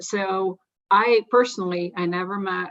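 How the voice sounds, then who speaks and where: With a Russian accent, a woman speaks. Her pitch is fairly low. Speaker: investor. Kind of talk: panel discussion.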